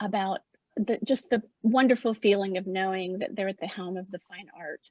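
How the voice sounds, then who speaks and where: At a moderate pace, a woman of medium pitch speaks in a somewhat breathy voice with fairly even intonation. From Appalachia. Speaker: arts project founder. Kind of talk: opening remarks at virtual artist talk. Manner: halting.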